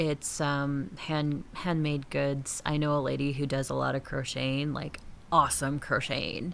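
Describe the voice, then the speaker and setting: A woman's very deep, low voice with a northern accent at a fairly slow pace. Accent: northern accent, slips out on certain words. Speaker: gaming streamer. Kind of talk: casual live-stream chat while gaming. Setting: home streaming studio. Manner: casual, chatty, many fillers.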